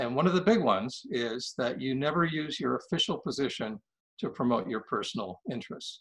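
Over a quiet background, a man with an American accent speaks with vocal fry and very wide pitch swings. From Maine, US. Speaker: painter and retired diplomat. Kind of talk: interview. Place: home room. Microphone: webcam.

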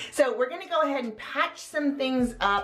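A woman speaks with faint music in the background. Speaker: home decor vlogger. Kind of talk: casual vlog chat. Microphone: phone near.

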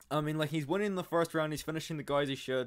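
A man with ordinary pitch variation in a quiet background. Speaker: MMA analysis channel host. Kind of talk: commentary.

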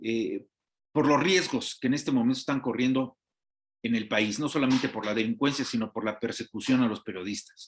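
A man with a Mexican accent against a quiet background. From Mexico. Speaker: TV news host. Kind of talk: TV interview. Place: office. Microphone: headset.

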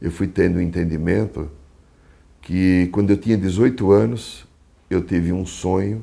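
A dark, mellow tone at a fairly slow pace with ordinary pitch variation. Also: man. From Brazil, São Paulo city. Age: 60s. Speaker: psychologist and shamanic therapist. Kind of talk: talk about his spiritual life path. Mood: calm, reflective. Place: home room. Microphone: lapel.

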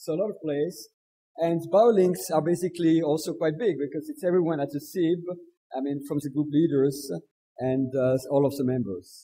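A man's fairly high pitch in a dark, mellow tone, at a moderate pace. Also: ordinary pitch variation. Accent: French. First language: French. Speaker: session chair. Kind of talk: speaker introduction. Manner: halting.

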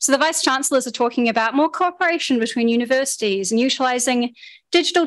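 Spoken at a very fast pace with a New Zealand accent, the voice shows ordinary pitch variation. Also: woman. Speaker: activist speaker, former secondary school teacher. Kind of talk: public talk. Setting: public meeting with audience.

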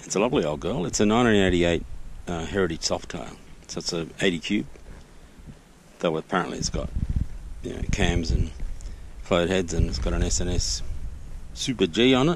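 A man with a very deep, low pitch and vocal fry talks at a fairly quick pace with very wide pitch swings. The sound is dry with no echo, over light background noise. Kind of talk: casual vlog chat. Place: garden. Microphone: phone near.

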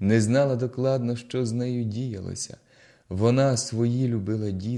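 Someone reads aloud in a natural voice. There is fairly even intonation throughout.

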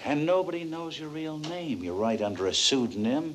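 A man's weary tone amid noticeable background noise. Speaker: actor playing a writer character. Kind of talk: theatrical play performance. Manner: weary, reflective, stagey.

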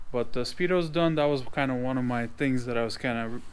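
A man's fairly quick speech with noticeable background noise. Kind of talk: casual vlog chat. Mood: relaxed, slightly self-deprecating. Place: garage. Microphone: phone near.

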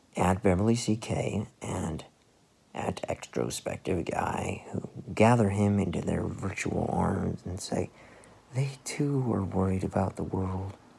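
A man does a put-on character voice, low in pitch with a dark, mellow tone, a husky, rough edge and vocal fry, moving at a fairly slow pace with ordinary pitch variation.

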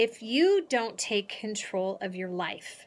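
A woman's voice with a bright, sharp tone. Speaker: motivational speaker. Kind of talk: motivational vlog talk. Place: home room. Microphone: phone near.

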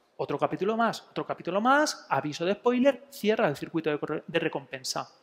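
With an animated tone and very wide pitch swings, a man speaks at a high pitch and a moderate pace. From Spain, Elche (Alicante). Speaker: psychologist giving a talk. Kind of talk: public talk. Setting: museum talk with live audience. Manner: animated, with many fillers. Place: hall.

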